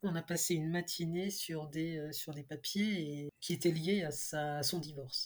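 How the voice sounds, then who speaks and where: Somewhat breathy and fairly low-pitched, a woman talks at a moderate pace with ordinary pitch variation. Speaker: decluttering expert and author. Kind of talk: interview conversation. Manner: cheerful.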